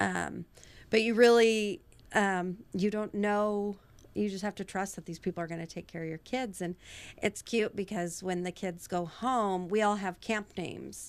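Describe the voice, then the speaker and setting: Using a plain, everyday voice, a woman with an American accent speaks at a moderate pace with fairly even intonation. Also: medium pitch for a woman, very clean recording, silent background. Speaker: nonprofit founder and teacher. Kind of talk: casual chat.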